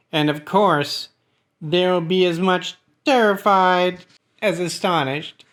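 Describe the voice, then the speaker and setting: This man is using a put-on character voice. He speaks high for a man at a fairly slow pace. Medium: read story. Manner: smooth, ingratiating.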